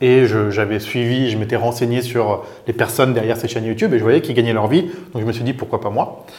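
This man talks very fast. He keeps his intonation fairly even. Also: medium pitch for a man. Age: 30s. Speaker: business executive. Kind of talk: interview.

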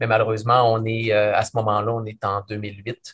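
This man talks at a medium pitch with a Quebec accent and a monotone, flat intonation. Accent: Québécois French. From Quebec City region, Canada. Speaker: business consultant and author. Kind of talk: interview.

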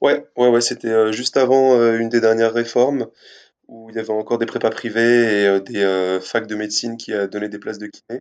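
A man speaks at a moderate pace with a medium pitch, his loudness swinging widely against a quiet background. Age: 20s. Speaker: physiotherapist. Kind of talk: casual interview. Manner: animated.

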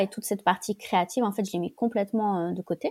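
Speaking at a very fast pace, a woman has a dark, mellow tone on a very clean recording with a silent background. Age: 30s. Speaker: guest sharing personal story. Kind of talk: testimony. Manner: halting.

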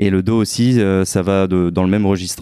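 A man's very deep, low voice with a dark, mellow tone and fairly even intonation, on a very clean recording with a silent background. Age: 30s. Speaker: police officer. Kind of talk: testimony. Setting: chiropractor's office. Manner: hesitant.

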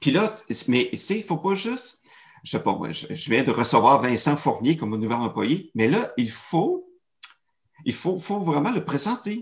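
A man speaks at a fairly high pitch and a moderate pace, animated in tone with very wide pitch swings. Long, frequent pauses break his speech over a quiet background. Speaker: storytelling and marketing consultant. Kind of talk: interview.

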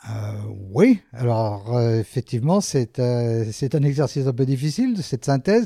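A man's dark, mellow tone at a moderate pace, with ordinary pitch variation, in a very clean recording with a silent background. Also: medium pitch for a man, dry, close sound with no echo. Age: 60s. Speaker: orthopedic surgeon. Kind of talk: interview. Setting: office.

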